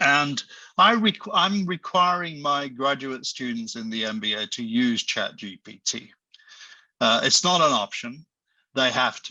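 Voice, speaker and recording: A man's fairly high, bright, sharp voice swings very widely in pitch and shows big swings in loudness. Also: fairly slow pace. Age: 70s. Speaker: professor. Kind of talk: panel discussion. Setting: online session.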